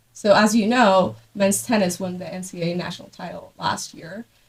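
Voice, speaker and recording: Her voice somewhat breathy, a woman talks at a moderate pace with ordinary pitch variation. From Guatemala. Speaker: podcast host. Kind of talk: casual chat. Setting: coffee shop.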